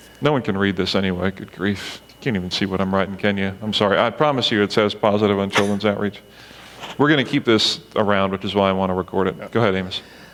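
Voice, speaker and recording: Over noticeable background noise, a man with a fairly low pitch talks at a very fast pace with fairly even intonation. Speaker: church meeting facilitator. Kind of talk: group discussion facilitation. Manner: loud.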